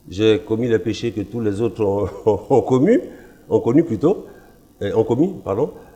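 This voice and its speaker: A man with a dark, mellow tone and medium pitch speaks at a fairly slow pace, somewhat breathy, with lively intonation. Long, frequent pauses break his speech over a quiet background. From Ivory Coast. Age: 60s. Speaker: pastor. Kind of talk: testimony.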